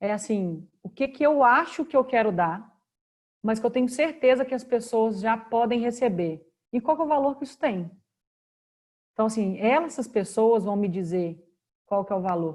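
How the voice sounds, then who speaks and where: A woman with a Minas Gerais accent speaks at a fairly high pitch and a moderate pace. Her speech has long, frequent pauses. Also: lively intonation. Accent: Minas Gerais accent (mineiro). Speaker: career and work speaker. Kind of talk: online talk Q&A.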